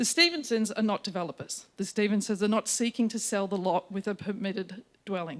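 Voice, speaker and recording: In an Australian accent, this voice moves at a fairly quick pace with fairly even intonation. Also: woman. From Australia, Victoria (Colac area). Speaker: town planner. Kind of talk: formal submission to council. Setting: council meeting chamber with microphone. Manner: loud.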